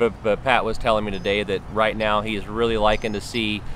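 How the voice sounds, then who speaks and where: A man with a fairly low pitch speaks at a fairly quick pace, the sound dry with no echo and a little background noise. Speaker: fishing video host. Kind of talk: tutorial. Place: waterside.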